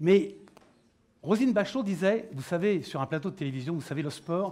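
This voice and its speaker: A man speaks at a moderate pace with a high pitch and lively intonation. The recording is very clean with a silent background. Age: 60s. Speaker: panel moderator, former Olympic pole vaulter. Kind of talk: round-table moderation. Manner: animated.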